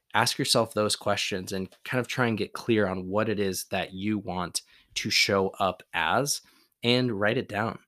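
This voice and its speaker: Over a silent background on a very clean recording, a man talks at a moderate pace in a plain, everyday voice, fairly low in pitch with ordinary pitch variation. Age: 30s. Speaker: podcast host and endurance coach. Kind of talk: solo motivational podcast talk.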